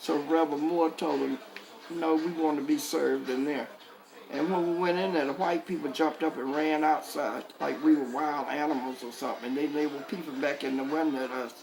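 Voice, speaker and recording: A woman with a very deep, low voice speaks amid audible room echo and noticeable background noise. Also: fairly quick pace. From US South, North Carolina. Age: 80s+. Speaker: civil rights veteran. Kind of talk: personal testimony.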